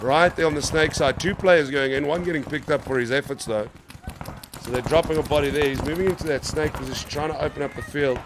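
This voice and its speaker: Very fast speech comes from a man with fairly high pitch. Noticeable background noise runs underneath. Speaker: paintball commentator. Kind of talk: live commentary. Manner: animated.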